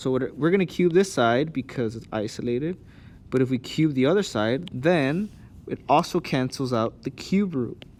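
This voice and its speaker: In a very clean recording with a silent background, a man with a normal speaking voice talks at a moderate pace, medium in pitch with lively intonation. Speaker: math teacher. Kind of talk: tutorial. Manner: casual.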